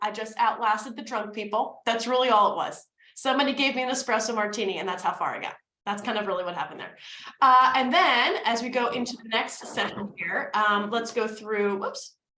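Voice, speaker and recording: The tone is animated and the pace fairly quick. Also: woman. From New Jersey, US (North Jersey). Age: 30s. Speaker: business coach and networking presenter. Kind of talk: presentation / webinar. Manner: fast.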